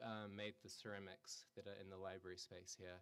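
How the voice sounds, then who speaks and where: With a New Zealand accent, a man speaks at a moderate pace. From New Zealand, rural. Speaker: artist. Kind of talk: artist talk. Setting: gallery talk with audience. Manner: hesitant, many fillers.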